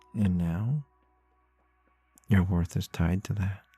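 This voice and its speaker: A man's fairly low voice in a gentle tone, fairly slow, with ordinary pitch variation and music in the background. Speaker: ASMR roleplay creator. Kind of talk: ASMR comfort roleplay. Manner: gentle, soft-spoken, reassuring.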